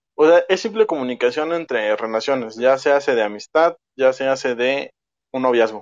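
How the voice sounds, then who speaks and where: With a Mexican accent, a man talks at medium pitch with ordinary pitch variation. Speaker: podcast guest. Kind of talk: casual chat. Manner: fast.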